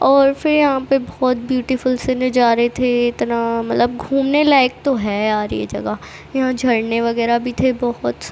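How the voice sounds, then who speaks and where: A woman speaks at a very slow pace in a high pitch with monotone, flat intonation. Noticeable background noise sits behind her voice. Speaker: vlogger. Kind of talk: travel vlog voiceover. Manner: casual, chatty.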